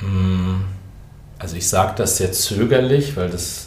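The man's delivery is very slow. Noticeable background noise and audible room echo fill the recording. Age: 50s. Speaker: pastor. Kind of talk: podcast monologue. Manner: hesitant.

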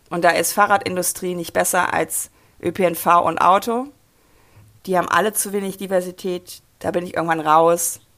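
A woman with an unremarkable speaking voice talks at a moderate pace and fairly low pitch, her intonation fairly even, on a very clean recording with a silent background. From rural Germany. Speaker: mobility activist and author. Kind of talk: interview.

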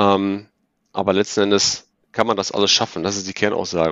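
This man talks at a fairly quick pace in a fairly low voice. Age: 40s. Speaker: ERP consultant. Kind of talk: podcast interview. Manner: hesitant, many fillers.

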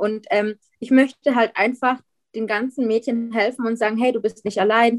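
A woman with a fairly high pitch speaks at a moderate pace with ordinary pitch variation, in a dry, close sound with no echo. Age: 20s. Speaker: guest sharing weight-loss surgery experience. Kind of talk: interview. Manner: halting.

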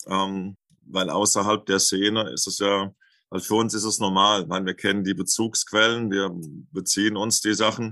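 A man's fairly low, bright, sharp voice in flat, monotone intonation against a quiet background. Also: moderate pace. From Germany, southern Hesse (Lorsch). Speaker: Ayurveda cook and cookbook author. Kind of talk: interview. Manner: hesitant, many filler words.

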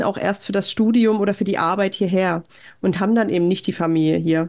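This woman's voice sits at a medium pitch, with fairly even intonation. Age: 30s. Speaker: podcaster, mother living abroad. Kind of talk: interview. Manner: hesitant with filler sounds.

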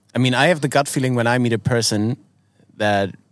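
A voice with a German accent comes through on a very clean recording with a silent background. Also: man. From Germany. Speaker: podcast co-host. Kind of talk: casual chat. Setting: outdoors.

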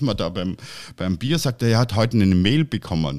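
This man talks at a moderate pace with very wide pitch swings and vocal fry, recorded very cleanly against a silent background. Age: 50s. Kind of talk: casual chat. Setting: studio.

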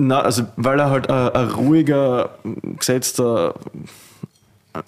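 Spoken with a Styrian accent, the voice shows ordinary pitch variation. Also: man. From Austria, Styria. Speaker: winemaker. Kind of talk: casual chat.

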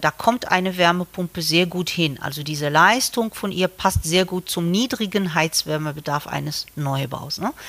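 A woman speaks at a moderate pace in a plain, everyday voice, her pitch fairly low. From Morocco. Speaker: civil engineering professor. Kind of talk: interview.

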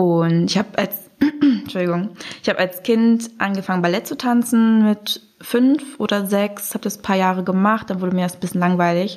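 Noticeable background noise accompanies a woman speaking at a medium pitch and a moderate pace, with ordinary pitch variation. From Germany (Braunschweig). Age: 20s. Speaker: student, blind date participant. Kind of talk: casual chat.

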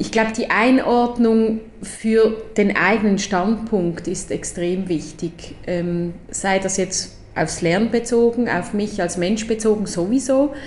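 The woman's pitch variation is ordinary. She talks at a very slow pace. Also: medium pitch for a woman. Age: 40s. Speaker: strategic designer, education co-founder. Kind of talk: casual interview. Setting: in person at office.

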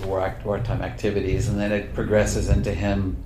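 A man with an American accent and a fairly low pitch speaks at a moderate pace, with audible room echo and noticeable background noise. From Oklahoma, US. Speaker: author and magazine writer. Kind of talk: interview.

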